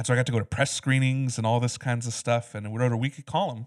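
A man speaks at a medium pitch with fairly even intonation. The recording is very clean, dry and close, with a silent background and no echo. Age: 30s. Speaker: film podcast co-host. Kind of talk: casual chat.

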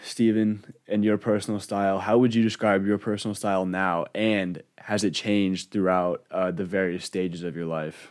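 A man with an unremarkable speaking voice, fairly low in pitch, fairly even in intonation, at a moderate pace with hardly any pauses, on a very clean recording with a silent background. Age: 20s. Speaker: podcast host. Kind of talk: casual chat.

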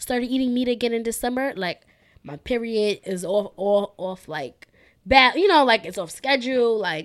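A woman speaks in an animated tone with ordinary pitch variation. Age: 20s. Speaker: podcast co-host. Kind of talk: casual chat.

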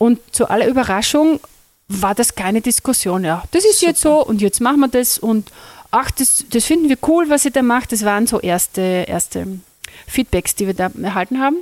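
Over a dry, close sound with no echo, a woman speaks at a high pitch and moderate pace with lively intonation. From Austria, Carinthia (Lesachtal). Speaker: music teacher and workshop trainer. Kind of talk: interview. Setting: recorded at a music school workshop. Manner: hesitant with fillers.

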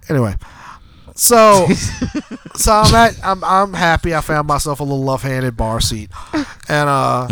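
With a bright, sharp tone and a fairly high pitch, this man speaks at a very slow pace, his pitch swinging very widely between long, frequent pauses. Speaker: podcast co-host telling a story. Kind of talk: casual, profane. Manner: casual, rambling storyteller.

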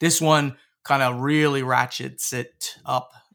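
Bright and sharp in tone, a man speaks in an animated, enthusiastic way. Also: very clean recording, silent background. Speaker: podcast host and former game publisher president. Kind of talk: casual chat.

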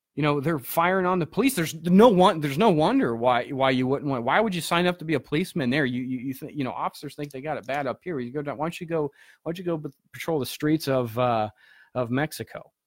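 A man with a fairly high voice speaks at a very fast pace with ordinary pitch variation, recorded very cleanly against a silent background with a dry, close sound and no echo. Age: 20s. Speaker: political podcast host. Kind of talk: casual political commentary. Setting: home studio. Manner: halting, many fillers and restarts.

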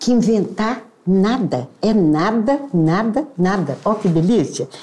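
Very slow and somewhat breathy, a woman speaks at a medium pitch with very wide pitch swings. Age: 70s. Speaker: architect and costume designer. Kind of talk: casual interview. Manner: halting.

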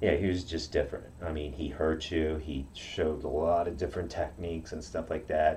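A man talks in a somewhat breathy voice, keeping a moderate pace. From Okinawa, Japan. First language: Japanese. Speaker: karate practitioner. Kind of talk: interview.

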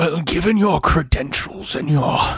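A put-on character voice. It sits at a middle pitch. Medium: actual play. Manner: formal, smooth, controlled.

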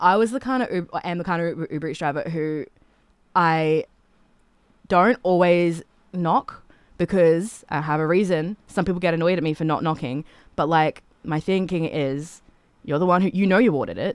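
A woman with an Australian accent, fairly low in pitch, at a moderate pace with ordinary pitch variation and long, frequent pauses, on a very clean recording with a silent background. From Australia, Toowoomba, Queensland. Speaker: singer-songwriter. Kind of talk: casual chat. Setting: studio. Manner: animated.

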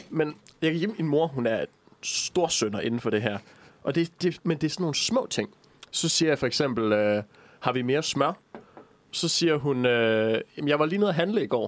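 Lively intonation runs through speech at a moderate pace, broken by long, frequent pauses. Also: man, fairly high pitch for a man. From Jutland, Denmark. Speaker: student radio co-host. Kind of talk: casual chat. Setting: studio. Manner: goes into falsetto when amused.

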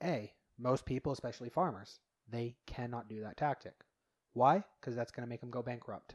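In an American accent, a man with a normal speaking voice talks at a medium pitch and a moderate pace with ordinary pitch variation, in a very clean recording with a silent background. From Utah. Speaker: podcast guest. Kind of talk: casual chat.

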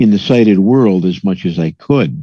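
The background stays quiet. A man's tone is dark and mellow. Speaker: caller. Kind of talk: casual chat. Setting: video call.

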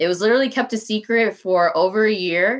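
In a very clean recording with a silent background, the talking unfolds at a moderate pace. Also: woman. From DeKalb County, Georgia, US. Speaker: candidate for county commissioner. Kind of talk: casual interview chat.

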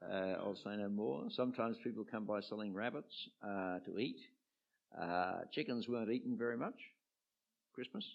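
A man's medium-pitched voice at a moderate pace, ordinary pitch variation, and long, frequent pauses. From Australia, Sydney eastern suburbs. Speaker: retired archbishop. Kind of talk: interview before a live audience. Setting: church with audience.

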